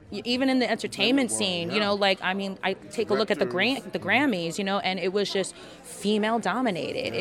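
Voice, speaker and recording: Against crowd noise in the background, a woman speaks at a medium pitch and a fairly quick pace with ordinary pitch variation. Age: 30s. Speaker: musical theatre singer. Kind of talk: casual interview.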